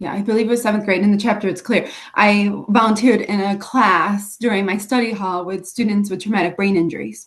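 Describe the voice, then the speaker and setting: Fairly even intonation from a woman's medium-pitched voice. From US Northeast, Rochester, New York. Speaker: special education teacher and author. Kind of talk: interview about life story. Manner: halting, slightly impaired speech after brain injury.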